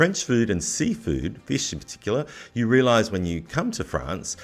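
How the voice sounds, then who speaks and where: Over music in the background, a man with a fairly low pitch talks at a moderate pace with very wide pitch swings. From Australia. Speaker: podcast host. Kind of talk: podcast interview.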